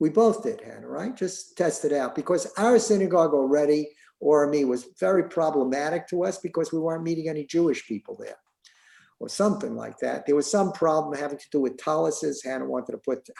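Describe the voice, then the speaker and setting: Speaking with a New York accent, a man talks at a fairly quick pace with lively intonation. His fairly high-pitched voice has a dark, mellow tone. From New York City, the Bronx. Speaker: synagogue member, former synagogue president. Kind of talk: casual interview. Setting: video call. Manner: halting.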